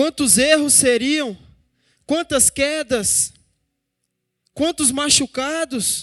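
A man with an extremely high pitch speaks at a very slow pace, leaving long, frequent pauses, with ordinary pitch variation, on a very clean recording with a silent background and a dry, close sound with no echo. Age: 20s. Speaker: preacher. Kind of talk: sermon.

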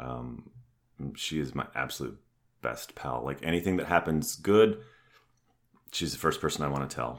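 The speaker goes at a fairly quick pace, with vocal fry. Long pauses come often. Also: man. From Canada. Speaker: actor and company CEO. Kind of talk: casual interview chat.

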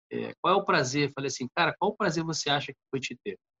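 This is a man speaking. His pitch is fairly high. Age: 30s. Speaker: pastor and psychologist. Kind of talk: casual chat.

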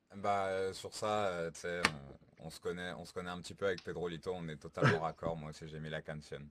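Speaking at a fairly quick pace, a man with a very deep, low pitch keeps fairly even intonation amid big swings in loudness. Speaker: music show panelist. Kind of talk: casual chat. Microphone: echo and low volume.

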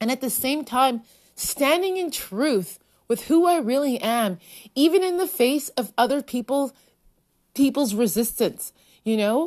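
A woman's high-pitched voice with lively intonation and a fairly slow pace. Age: 40s. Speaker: parenting podcast host. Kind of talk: solo monologue. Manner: casual, with hesitations.

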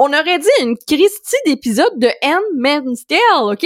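In a Quebec accent, a woman speaks at a high pitch with very wide pitch swings. The sound is dry and close, with no echo. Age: 30s. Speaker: digital marketing expert. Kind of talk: casual chat.

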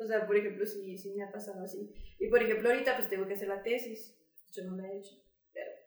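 A woman at a very fast pace with monotone, flat intonation and audible room echo. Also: medium pitch for a woman, big swings in loudness. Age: 20s. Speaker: student and writer. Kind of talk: casual chat.

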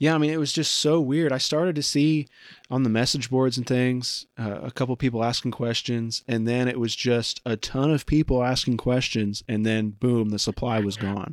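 A man with a plain, everyday voice and an American accent speaks at a medium pitch and a moderate pace, with ordinary pitch variation and hardly any pauses, in a dry, close sound with no echo and a very clean recording with a silent background. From Indiana. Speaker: podcast host. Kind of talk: interview.

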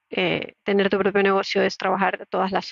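At a moderate pace, a woman speaks at medium pitch with vocal fry. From Latin America. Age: 30s. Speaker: podcaster and entrepreneur. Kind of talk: solo podcast monologue.

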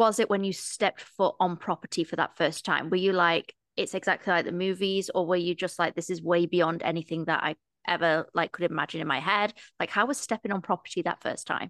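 A woman's fairly low voice with an East Midlands accent, fairly quick in pace and fairly even in intonation, in a dry, close recording with no echo and a quiet background. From East Midlands, England (near Nottingham). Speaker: podcast host. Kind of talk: casual interview chat.

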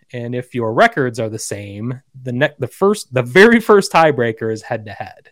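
An ordinary speaking voice, this man speaks at a moderate pace and medium pitch with an American accent, the sound dry and close with no echo and the recording very clean against a silent background. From US Midwest. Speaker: podcast host. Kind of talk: casual chat.

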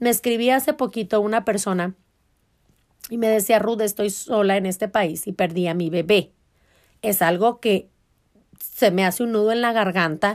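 On a very clean recording with a silent background, a woman with a Mexican accent speaks in an animated tone at a medium pitch with ordinary pitch variation. Her pace is moderate, with long, frequent pauses. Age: 30s. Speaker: podcast host. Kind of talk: casual self-help monologue.

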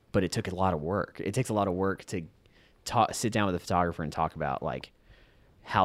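A very deep, low male voice with vocal fry, a very fast pace and ordinary pitch variation, in a very clean recording with a silent background. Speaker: podcast host, photographer. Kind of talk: casual chat, interview. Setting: sitting on a porch, cold weather.

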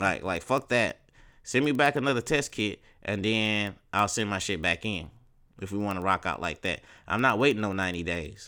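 In an American accent, a man speaks at a moderate pace with a fairly low pitch and ordinary pitch variation. His tone is bright and sharp, on a very clean recording with a silent background. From Texas, Beaumont area. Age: 40s. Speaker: podcast host. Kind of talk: casual monologue. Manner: animated.

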